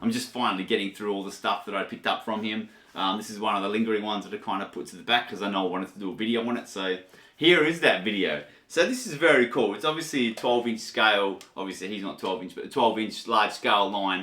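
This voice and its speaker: A man with an Australian accent, fairly low in pitch, at a very fast pace, with ordinary pitch variation and big swings in loudness. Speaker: toy collector reviewer. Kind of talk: casual video review. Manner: casual, halting.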